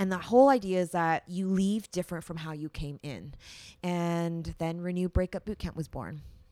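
A woman with a Canadian accent and an unremarkable speaking voice talks at a moderate pace and fairly low pitch with ordinary pitch variation, on a very clean recording with a silent background. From Canada. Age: 30s. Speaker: breakup coach. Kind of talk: podcast interview.

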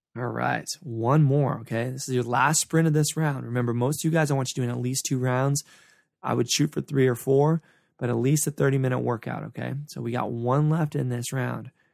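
A man talks in an ordinary speaking voice at a medium pitch and a fairly quick pace. His intonation is fairly even, and the sound is dry and close with no echo. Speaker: fitness coach, triathlete and runner. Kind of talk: live-guided interval workout coaching, counting down sprint seconds. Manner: pumped-up, urgent motivational pushing with repeated countdowns; short punchy repeated cues, cheering listeners on.

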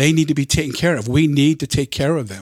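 An unremarkable speaking voice, a man with an American accent talks at a fairly high pitch with fairly even intonation. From Southern California, LA County. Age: 60s. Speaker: retired firefighter. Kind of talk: casual chat.

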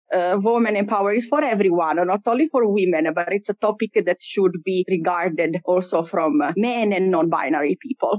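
In an Italian accent, a woman at a medium pitch speaks with very even loudness. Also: lively intonation, moderate pace, hardly any pauses. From Italy. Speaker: cultural mediator. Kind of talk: interview. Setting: studio. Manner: talkative.

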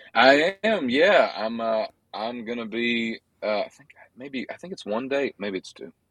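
Dry and close with no echo, a man's voice comes at a medium pitch and a fairly slow pace. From US South, western Georgia. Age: 20s. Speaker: country singer-songwriter. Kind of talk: casual interview. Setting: outdoors at a social gathering, remote call.

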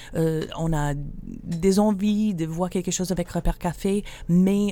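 With fairly even intonation, a woman speaks in a dark, mellow tone on a very clean recording with a silent background. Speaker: charity shop worker. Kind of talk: radio interview.

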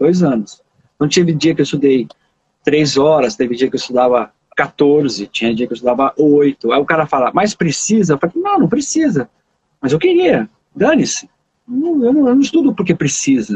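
The pitch swings very widely while the loudness stays very even. The pace is moderate. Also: man, fairly high pitch for a man. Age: 50s. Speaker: saxophonist and music teacher. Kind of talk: casual chat.

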